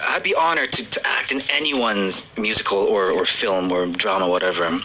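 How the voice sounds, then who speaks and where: Lively intonation and very even loudness mark this fairly quick delivery, set against noticeable background noise. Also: man, fairly low pitch for a man. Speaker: radio DJ. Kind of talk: casual chat.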